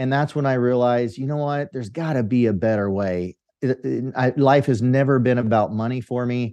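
A man with an American accent talks at a fairly quick pace with hardly any pauses, his dark, mellow tone carrying ordinary pitch variation. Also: medium pitch for a man. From California Central Valley, US. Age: 50s. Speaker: entrepreneur and podcast host. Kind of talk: interview.

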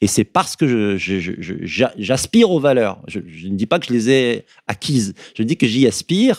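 Recorded very cleanly against a silent background, with a dry, close sound and no echo, a man speaks at a very slow pace in a fairly low voice with lively intonation. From France, Berry. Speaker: activist, former association president. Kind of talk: radio interview. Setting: studio.

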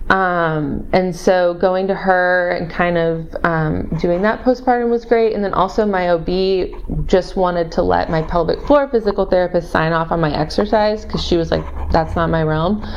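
With an American accent, a woman speaks at a moderate pace and fairly low pitch, with ordinary pitch variation and noticeable background noise. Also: hardly any pauses. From Missouri. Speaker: urban planning consultant. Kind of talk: interview, telling her birth story. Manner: hesitant, many ums.

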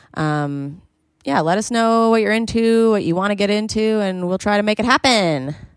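The voice is an ordinary speaking voice, delivered at a fairly quick pace with lively intonation. The background is quiet. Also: woman. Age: 20s. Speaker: comedian. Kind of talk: casual chat.

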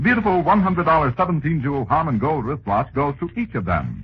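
Vocal fry runs through this man's fairly high voice. He talks at a moderate pace with very wide pitch swings. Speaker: radio announcer. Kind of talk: old-time radio sponsor announcement, salesman's pitch. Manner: formal, crisp, smoothly persuasive announcer delivery.

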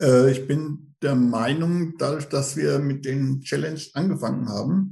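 A man speaks very slowly at a fairly high pitch. His voice is somewhat breathy with a dark, mellow tone. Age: 50s. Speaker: running group admin, police employee. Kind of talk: casual interview.

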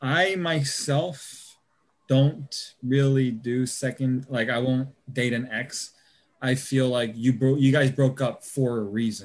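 A man's medium-pitched voice with an American accent, very slow in pace, with fairly even intonation. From US South, Georgia. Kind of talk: casual chat.

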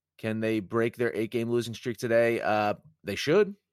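Here is a man with a normal speaking voice, fairly low in pitch, at a moderate pace. The sound is dry and close with no echo, very clean, with a silent background. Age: 30s. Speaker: sports betting podcast host. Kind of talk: casual solo sports talk.

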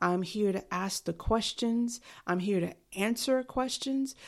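Recorded very cleanly over a silent background, a woman with a New York accent speaks at medium pitch and a fairly slow pace with ordinary pitch variation. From New York City. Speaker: podcast host and life coach. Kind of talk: solo podcast monologue. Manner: dry.

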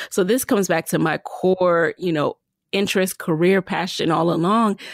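In a very clean recording with a silent background, a woman speaks at a fairly slow pace in a normal speaking voice of medium pitch. The sound is dry and close, with no echo. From US, the Bronx, New York (born in Jamaica). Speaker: podcast host and entrepreneur. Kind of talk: interview.

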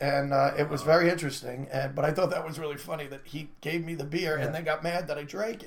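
Speech rushes at a very fast pace with hardly any pauses, big swings in loudness and fairly even intonation, over noticeable background noise. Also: man, fairly high pitch for a man. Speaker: comedian and podcast co-host. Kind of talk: joke telling; casual chat. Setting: studio.

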